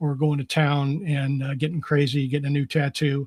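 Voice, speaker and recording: Fairly high in pitch, a man speaks at a moderate pace. His intonation is monotone and flat. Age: 60s. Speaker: Marine Corps veteran. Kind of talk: casual chat.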